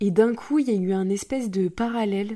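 On a very clean recording with a silent background, a woman talks at a medium pitch. Her tone is dark and mellow, her intonation fairly even. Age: 20s. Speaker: podcast host. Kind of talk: personal monologue.

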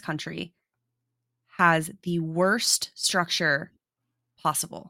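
Bright, sharp tones from a woman with an American accent. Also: very clean recording, silent background. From South Dakota, US. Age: 20s. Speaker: podcast co-host. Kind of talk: casual chat.

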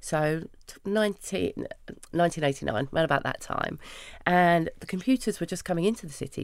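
Speaking in a London accent, a woman with a fairly low pitch talks at a fairly quick pace with lively intonation. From London, Hackney. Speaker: founder of a women's networking business. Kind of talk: interview.

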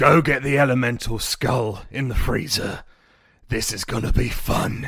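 Using a put-on character voice, a man sounds raspy and husky at a medium pitch and a moderate pace.

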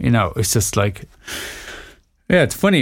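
A man's voice at medium pitch, with vocal fry throughout. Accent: Dublin. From Ireland, small town near Dublin. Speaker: DJ and music producer. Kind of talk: casual interview conversation.

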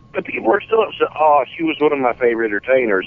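The voice belongs to a man and sits at a fairly high pitch. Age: 40s. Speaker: wrestling fan. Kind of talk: casual chat. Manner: animated.

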